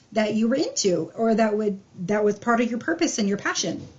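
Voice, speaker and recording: Here a woman talks at a very fast pace. Her pitch is fairly high and her voice somewhat breathy. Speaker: tarot reader. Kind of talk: tarot reading.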